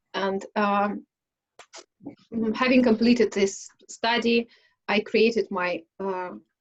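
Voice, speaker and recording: Very slow speech in a Russian accent, with long, frequent pauses and fairly even intonation. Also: woman, fairly high pitch for a woman. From Russia, Smolensk. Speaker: English conversation club host. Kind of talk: casual self-introduction in online speaking club. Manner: halting, many fillers.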